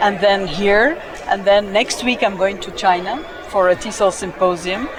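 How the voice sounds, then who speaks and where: Crowd noise and audible room echo surround a woman's voice. She speaks at a moderate pace and medium pitch, with ordinary pitch variation. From Egypt. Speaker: university dean, association president. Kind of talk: interview. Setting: conference center.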